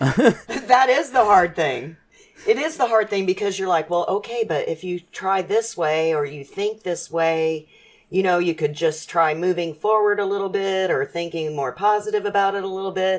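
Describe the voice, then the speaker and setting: With lively intonation, a woman talks in a plain, everyday voice. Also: medium pitch for a woman, moderate pace. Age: 50s. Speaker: mother sharing life lessons. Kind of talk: casual chat. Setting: podcast interview.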